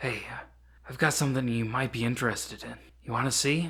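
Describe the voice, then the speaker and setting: A man puts on a raspy character voice at a medium pitch. He talks at a fairly quick pace with fairly even intonation. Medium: read story. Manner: casual, disinterested.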